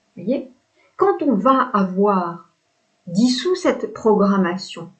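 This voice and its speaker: A woman talks at a medium pitch. Her intonation is lively. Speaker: spiritual coach. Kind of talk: spiritual talk to camera. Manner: hesitant fillers, repetitions.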